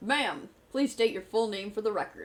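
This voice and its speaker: In a put-on character voice, a woman speaks fairly quickly at a fairly high pitch. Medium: actual play. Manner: polite, earnest.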